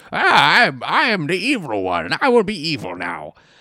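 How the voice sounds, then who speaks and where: A man performs a put-on character voice. It sits at a fairly high pitch. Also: moderate pace. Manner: menacing, villainous.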